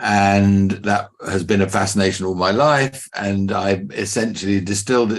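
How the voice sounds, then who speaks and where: A man with an English accent speaks fairly slowly in a fairly low voice. His pitch varies in an ordinary way against a quiet background. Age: 60s. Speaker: business mentor and company founder. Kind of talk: podcast interview.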